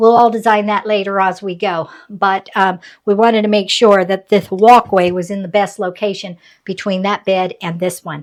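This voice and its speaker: A woman's medium-pitched voice, a normal speaking voice, at a moderate pace with fairly even intonation, in a very clean recording with a silent background. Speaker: retired homesteader vlogger. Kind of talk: casual vlog narration.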